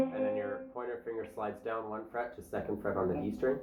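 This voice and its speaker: A man's voice with music in the background. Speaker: guitar teacher. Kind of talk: guitar lesson tutorial.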